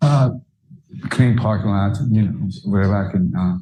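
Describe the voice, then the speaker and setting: Dark and mellow in tone, a man's fairly low, somewhat breathy voice carries lively intonation. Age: 60s. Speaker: defendant. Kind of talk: courtroom testimony. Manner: halting, hesitant.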